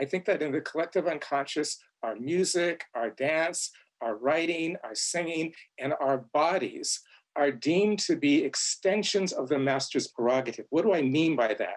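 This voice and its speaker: A man's fairly high voice at a moderate pace, with ordinary pitch variation. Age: 60s. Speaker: author and theorist. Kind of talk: panel discussion. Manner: halting, repeats words.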